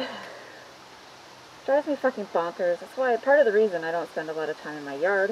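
Against light background noise, a woman speaks at a fairly quick pace with very wide pitch swings. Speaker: garden vlogger. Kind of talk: casual vlog chat. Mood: annoyed, venting. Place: garden. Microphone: phone near.

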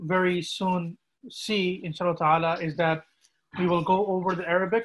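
A man's flat, monotone voice. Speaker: imam. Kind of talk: religious class teaching. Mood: calm, devout. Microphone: video call.

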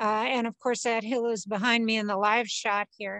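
Against a quiet background, a woman talks fairly slowly in a dry sound with no echo. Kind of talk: interview answer. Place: garden.

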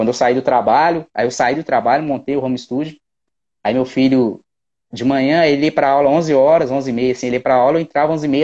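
A man with a dark, mellow tone and a fairly high pitch talks at a very fast pace. His pitch varies normally over a quiet background. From Minas Gerais, Belo Horizonte. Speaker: percussionist; guest. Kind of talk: casual chat. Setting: video call. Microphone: earbuds.

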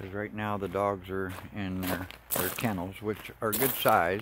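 The pace is fairly slow, with noticeable background noise. The sound is dry, with no echo. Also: man. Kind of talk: casual walkthrough narration. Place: open country. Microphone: phone near.

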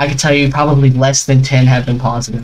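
A man speaks in a somewhat breathy voice. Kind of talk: angry rant. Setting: screen-recorded video commentary. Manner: seething, sarcastic, indignant; repetitive, stammering, spluttering mid-sentence.

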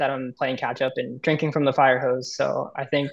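A man speaks with an American accent at a fairly high pitch. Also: quiet background. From Northern California. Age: 20s. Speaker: government intern; guest. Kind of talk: webinar panel discussion. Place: home room. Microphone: video call.

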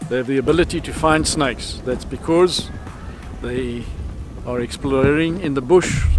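A man at a moderate pace, with music in the background. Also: dry sound with no echo. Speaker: snake handling trainer. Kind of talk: casual piece to camera. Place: street.

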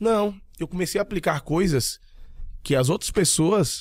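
At a moderate pace, a man with a high voice and ordinary pitch variation speaks in a dry sound with no echo against a quiet background. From Bahia, Brazil (Jequié, interior); Bahia, Brazil. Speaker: digital marketing entrepreneur; podcast guest. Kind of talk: casual interview chat. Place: studio. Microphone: studio mic.

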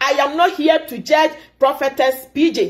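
Over a quiet background, a woman speaks at a high pitch. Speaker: commentator. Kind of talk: impassioned commentary vlog. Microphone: phone near.

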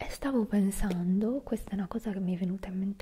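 A woman's voice has a dark, mellow tone and sounds somewhat breathy. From Italy. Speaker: ASMR creator. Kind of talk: ASMR whispered talk to camera. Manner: whispered, soft-spoken. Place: home room. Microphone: studio mic.

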